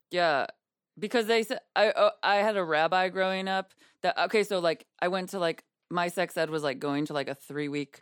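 On a very clean recording with a silent background and a dry, close sound with no echo, a woman speaks at a moderate pace with ordinary pitch variation. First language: Yiddish. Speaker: comedian. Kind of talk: casual chat.

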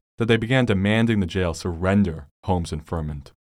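Speaking at a fairly quick pace with lively intonation, a man with an American accent uses an unremarkable speaking voice at fairly low pitch, on a very clean recording with a silent background. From California, San Francisco Bay Area. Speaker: local history podcaster. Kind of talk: scripted narration.

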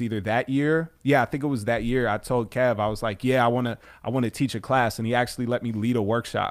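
Speaking with an American accent at a medium pitch, a man talks at a very fast pace with fairly even intonation and hardly any pauses. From Chicago suburbs, US Midwest. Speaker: rapper. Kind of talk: casual interview. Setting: radio studio.

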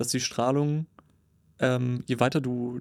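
A normal speaking voice from a man, medium in pitch, the intonation fairly even. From northern Germany (Cuxhaven). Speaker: podcast co-host. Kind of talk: casual chat. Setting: studio booth.

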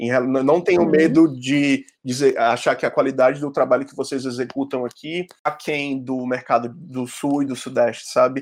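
A man with a fairly high pitch and fairly even intonation speaks at a moderate pace with hardly any pauses, in a very clean recording with a silent background. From Ceará, Fortaleza (Brazilian Northeast). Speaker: graphic designer. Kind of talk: casual chat.

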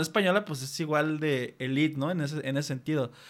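On a very clean recording with a silent background, a man with a Mexican accent talks at a fairly quick pace. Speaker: podcast host. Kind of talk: casual chat.

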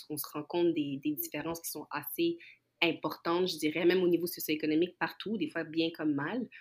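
A woman's fairly low-pitched voice at a moderate pace, a normal speaking voice. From Montreal, Quebec. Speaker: guest. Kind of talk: casual chat.

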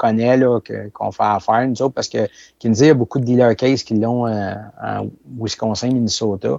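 Dry and close with no echo, a man's voice with a Quebec accent has a dark, mellow tone and fairly even intonation over a quiet background. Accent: Québécois French. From Quebec, La Présentation near Saint-Hyacinthe. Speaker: farm machinery manufacturer. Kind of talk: casual interview.

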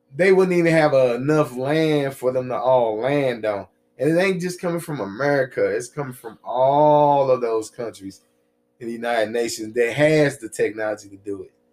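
Medium in pitch with ordinary variation, a man with a plain, everyday voice talks at a moderate pace. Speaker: podcast host. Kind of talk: casual podcast chat.

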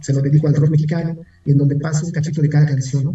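Using a plain, everyday voice, a man with a fairly high pitch talks at a fairly quick pace with fairly even intonation. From Mexico City. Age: 40s. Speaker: rock music documentarian. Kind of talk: interview.

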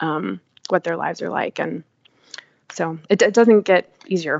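A woman with an American accent speaks at a fairly low pitch, with vocal fry. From Texas, Dallas. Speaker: nonprofit foundation director and storyteller. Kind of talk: casual interview. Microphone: unstable internet connection.

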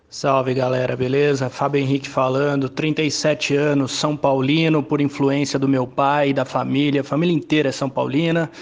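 At a moderate pace and with hardly any pauses, a man talks in a fairly high, monotone voice with flat intonation. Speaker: football fan pundit. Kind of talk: football commentary. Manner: emphatic.

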